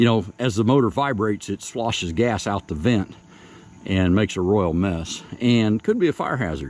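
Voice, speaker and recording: A man speaks with lively intonation at a medium pitch. His is an unremarkable speaking voice. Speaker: homesteader and sawmill operator. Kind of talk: tutorial. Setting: outdoors.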